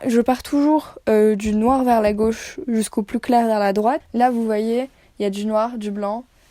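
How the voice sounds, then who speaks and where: In a very clean recording with a silent background, a woman with a fairly high pitch and a dark, mellow tone speaks at a fairly slow pace with fairly even intonation. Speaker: lifestyle vlogger. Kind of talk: casual vlog chat. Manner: casual, filler-heavy.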